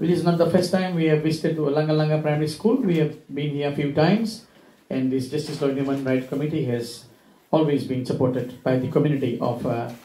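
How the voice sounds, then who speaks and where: A man talks at a very fast pace with ordinary pitch variation. Room echo is audible. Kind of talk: formal public address. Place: classroom.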